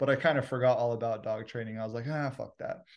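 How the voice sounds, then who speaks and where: In an unremarkable speaking voice, a man talks at a medium pitch with fairly even intonation against a quiet background. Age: 30s. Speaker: dog trainer and gym co-owner, former rapper. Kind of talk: casual chat.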